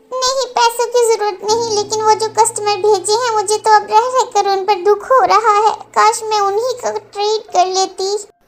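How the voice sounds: Using a cartoonish character voice, a woman talks at a moderate pace with an extremely high pitch and a monotone, flat intonation.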